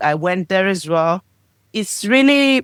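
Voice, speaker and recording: Speaking at a fairly slow pace, a woman with a medium-pitched voice makes very wide pitch swings. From Greece. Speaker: podcast guest. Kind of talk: interview answer.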